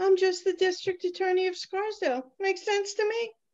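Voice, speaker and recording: A squeaky, put-on character voice at an extremely high pitch and a fairly quick pace. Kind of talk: courtroom speech. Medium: audio drama.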